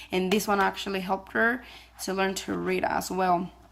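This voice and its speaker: This woman has a non-native accent and a medium pitch. She talks at a fairly quick pace with fairly even intonation. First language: not English. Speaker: homeschooling parent vlogger. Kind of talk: casual vlog talk. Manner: halting, many fillers.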